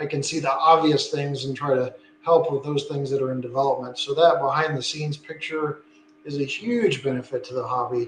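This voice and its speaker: Over noticeable background noise, the speech moves at a fairly quick pace with fairly even intonation. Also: man, fairly high pitch for a man. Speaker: model train channel host. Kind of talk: casual interview chat. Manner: monotone.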